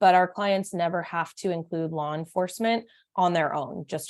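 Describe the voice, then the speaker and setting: This woman talks at a fairly quick pace. Her fairly low voice keeps a fairly even intonation. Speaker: domestic violence therapist. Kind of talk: online meeting presentation. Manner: fast.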